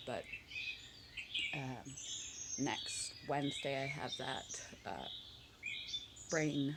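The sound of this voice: Raspy and full of vocal fry, a woman speaks slowly at an extremely low pitch, with a fairly bright tone and ordinary pitch variation.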